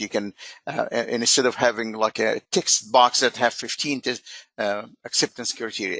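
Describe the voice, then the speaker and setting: A man's plain, everyday voice at medium pitch, with fairly even intonation, a dry, close sound with no echo, and a quiet background. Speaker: software webinar presenter. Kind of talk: webinar product demo.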